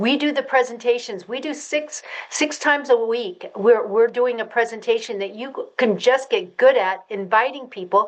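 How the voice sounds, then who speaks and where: Over noticeable background noise, a woman with a high pitch talks in an animated tone at a moderate pace, with ordinary pitch variation and hardly any pauses. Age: 70s. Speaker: network marketing business leader. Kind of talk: presentation call testimony. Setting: conference call.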